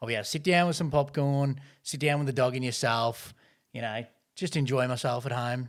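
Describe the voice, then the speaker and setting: Heard on a very clean recording with a silent background, a man speaks at a medium pitch with ordinary pitch variation. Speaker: movie review podcast host. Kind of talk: casual chat.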